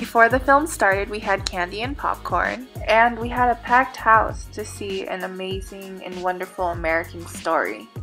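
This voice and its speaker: Delivered at a moderate pace with hardly any pauses, the speech shows big swings in loudness over music in the background. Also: woman. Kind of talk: vlog narration.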